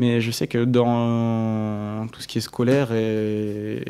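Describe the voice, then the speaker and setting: Medium in pitch, this man's voice is dark and mellow. His intonation stays monotone and flat. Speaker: engineering student. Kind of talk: casual interview. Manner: fast.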